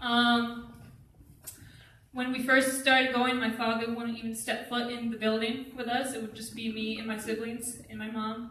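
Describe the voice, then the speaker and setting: Amid noticeable background noise and audible room echo, a woman with a fairly high pitch speaks at a moderate pace in a flat monotone, with big swings in loudness. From Vermont. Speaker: college student. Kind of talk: testimony.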